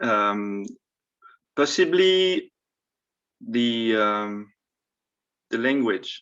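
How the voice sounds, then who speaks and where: A man with a French accent talks at a very slow pace, with long, frequent pauses. His medium-pitched voice has lively intonation. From France. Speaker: panelist, former international student. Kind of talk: panel talk. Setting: video call.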